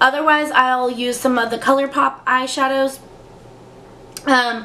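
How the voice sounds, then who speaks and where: A woman in a raised, projected voice, high in pitch and monotone with flat intonation, at a fairly slow pace over noticeable background noise. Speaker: beauty youtuber. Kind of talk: casual product review chat. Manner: hesitant, many fillers.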